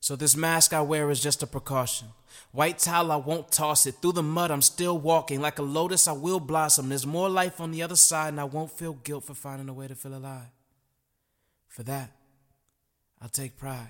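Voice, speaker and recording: An ordinary speaking voice, a man at a fairly high pitch, moderate pace, fairly even intonation and big swings in loudness. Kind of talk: spoken word poem. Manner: rhythmic, rhyming, poetic cadence; earnest, reflective, building to a defiant close.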